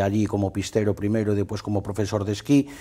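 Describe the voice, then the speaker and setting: The background is quiet as a man speaks at a fairly quick pace. His pitch is fairly low and his tone dark and mellow. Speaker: ski travel agency owner and former ski instructor; former ski instructor. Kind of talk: interview. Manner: halting, many repetitions and fillers. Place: studio. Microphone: lapel.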